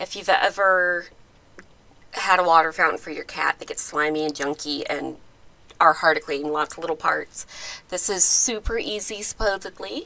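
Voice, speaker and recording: At a moderate pace, a woman with a fairly low pitch and bright, sharp tone uses ordinary pitch variation, her loudness rising and falling in big swings. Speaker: channel host, cat toy designer. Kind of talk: casual live stream chat. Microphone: close microphone.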